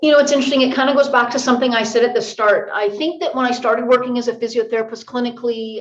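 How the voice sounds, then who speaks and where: A woman's voice with ordinary pitch variation. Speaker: physiotherapist and researcher. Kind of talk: podcast interview. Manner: fast; loud when excited.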